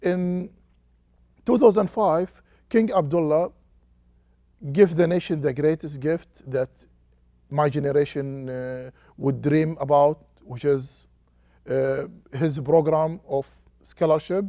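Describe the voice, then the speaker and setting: A man with an Arabic accent speaks at a very slow pace, leaving long, frequent pauses. His pitch is fairly high and his tone is dark and mellow. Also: ordinary pitch variation. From Saudi Arabia, Qatif. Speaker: sociology professor. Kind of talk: interview. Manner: halting.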